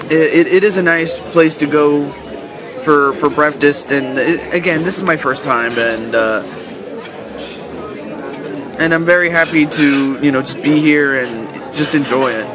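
Crowd noise sits behind a man who speaks at a fairly slow pace with long, frequent pauses and ordinary pitch variation, in a dry sound with no echo. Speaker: vlogger. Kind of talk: casual vlog chat. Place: cafe. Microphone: phone near.

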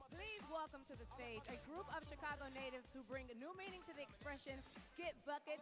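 A woman with an American accent talks at a fairly quick pace over clear music in the background. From Louisiana, United States. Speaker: TV and live event host, entertainment and sports reporter. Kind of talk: arena announcer, PA-style crowd hype. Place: stadium. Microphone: handheld.

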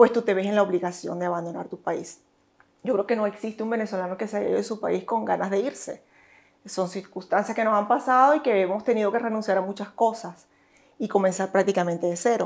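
A woman rattles off her words very fast, her medium-pitched voice keeping a fairly even intonation. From Venezuela. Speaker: gynecologist; interviewee. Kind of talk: interview. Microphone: lapel.

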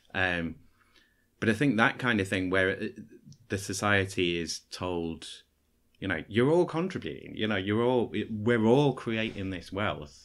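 In a very clean recording with a silent background, an unremarkable speaking voice moves at a fairly slow pace with ordinary pitch variation. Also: man, fairly low pitch for a man. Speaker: podcast host. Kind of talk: casual chat.

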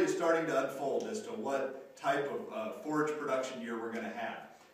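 Strong room echo surrounds a man's voice. His pitch is fairly high and his intonation lively. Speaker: extension rangeland specialist. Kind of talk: educational video. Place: classroom.

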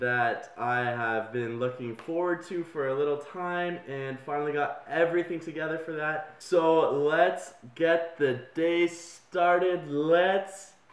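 Speech at a very slow pace carries audible room echo. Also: man. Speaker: vlogger. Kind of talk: casual vlog chat. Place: home room. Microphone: phone near.

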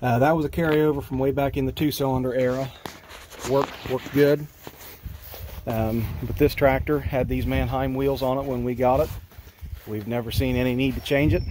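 A man talks at a moderate pace with fairly even intonation, pausing long and often. The sound is dry with no echo, with light background noise. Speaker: tractor owner. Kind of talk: casual walkaround explanation. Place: open country. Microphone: phone near.

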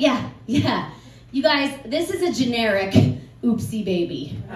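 Very slowly, a woman with an American accent and a fairly high voice makes very wide pitch swings, with audible room echo and light background noise. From US Northeast. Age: 40s. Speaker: comedian. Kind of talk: stand-up. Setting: stage with audience. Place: bar. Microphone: camera far.

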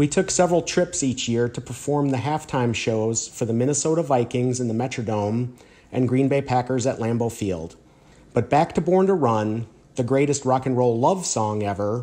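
The man has a dark, mellow tone. He talks at a moderate pace with ordinary pitch variation. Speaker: radio guest. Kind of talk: scripted radio introduction, personal story.

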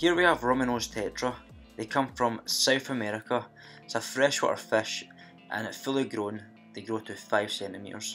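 Over music in the background, a man with a Scottish accent speaks at a moderate pace with big swings in loudness. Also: medium pitch for a man, ordinary pitch variation. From Scotland. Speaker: fish hobbyist vlogger. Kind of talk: casual vlog narration.

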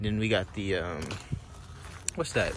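Over noticeable background noise, a man with a fairly low pitch speaks in a dry sound with no echo. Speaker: car flipper vlogger. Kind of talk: casual vlog chat. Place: open country. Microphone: phone near.

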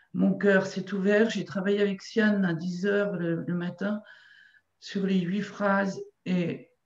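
In a quiet background with audible room echo, a woman speaks at a very slow pace in a somewhat breathy, monotone, flat voice. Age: 60s. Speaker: qigong practitioner. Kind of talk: testimony. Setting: video call. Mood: emotional, moved. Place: home room. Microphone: video call.

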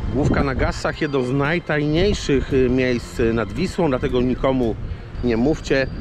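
The voice has ordinary pitch variation and a dry sound with no echo. Background noise is noticeable. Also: man. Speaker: fishing vlogger. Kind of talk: casual vlog chat. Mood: joking, relaxed. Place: waterside. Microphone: phone near.

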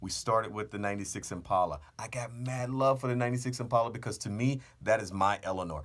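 In a quiet setting, a man talks at a fairly quick pace with hardly any pauses and ordinary pitch variation. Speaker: car channel host. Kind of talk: casual vlog chat. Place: booth. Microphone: studio mic.

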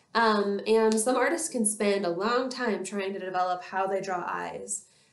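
A woman at a moderate pace, with audible room echo. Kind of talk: educational talk to camera. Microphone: webcam.

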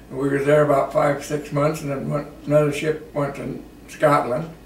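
A man in a Midwestern American accent at a fairly slow pace, with audible room echo and light background noise. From Iowa. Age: 80s+. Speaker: war veteran. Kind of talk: interview answer. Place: home room. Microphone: camera far.

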